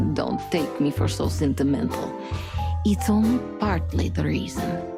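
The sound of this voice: Over clear music in the background, a woman uses a put-on character voice in an Eastern European accent, with a low pitch, vocal fry, lively intonation and a fairly slow pace.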